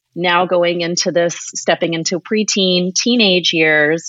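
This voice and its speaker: A woman with a fairly low pitch and fairly even intonation has an ordinary speaking voice. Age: 40s. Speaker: podcast host and yoga teacher. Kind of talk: casual interview conversation.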